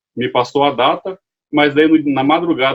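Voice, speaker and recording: A man speaks at a moderate pace with a fairly high pitch. His intonation stays fairly even. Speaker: lay preacher. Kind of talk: sermon. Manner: halting.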